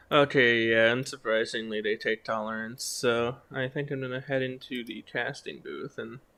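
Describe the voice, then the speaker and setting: A quiet man on a very clean recording with a silent background. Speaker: esports caster. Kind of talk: live commentary. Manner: quiet, inside voice.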